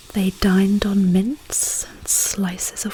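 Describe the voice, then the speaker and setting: A woman talks at a very slow pace. Noticeable background noise runs underneath. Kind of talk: poetry reading. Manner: whispered, soft-spoken.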